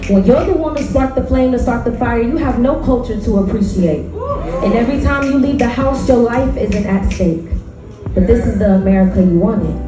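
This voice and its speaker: A woman speaks at a fairly quick pace in a fairly high pitch with lively intonation. Clear music plays in the background, and room echo is audible. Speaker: spoken word poet. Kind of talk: spoken word poetry performance. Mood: intense, impassioned. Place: stage.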